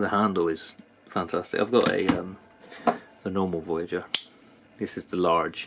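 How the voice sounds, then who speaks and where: Noticeable background noise sits behind a man with a very deep, low pitch. He speaks at a moderate pace with monotone, flat intonation. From UK. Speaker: knife reviewer, YouTuber. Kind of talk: product review. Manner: hesitant, many fillers.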